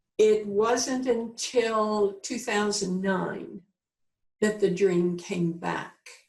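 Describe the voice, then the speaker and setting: A woman speaks in a somewhat breathy voice at a medium pitch. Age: 70s. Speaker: visionary educator and author. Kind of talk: interview. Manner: halting.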